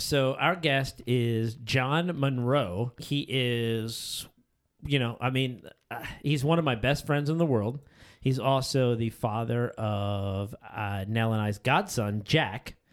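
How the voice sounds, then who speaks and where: On a very clean recording with a silent background, a man speaks very slowly at a medium pitch with ordinary pitch variation. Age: 40s. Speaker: podcast host. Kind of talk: casual chat.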